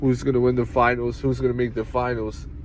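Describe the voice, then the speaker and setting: This man speaks in a New York accent. His pitch sits in the medium range. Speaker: sports show host. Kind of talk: casual solo sports talk. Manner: fast, not always clearly enunciated.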